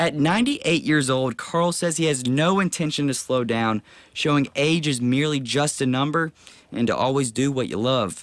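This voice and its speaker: Using a plain, everyday voice, a man talks at a fairly high pitch and moderate pace, with ordinary pitch variation and very even loudness. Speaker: TV news reporter. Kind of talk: TV news report.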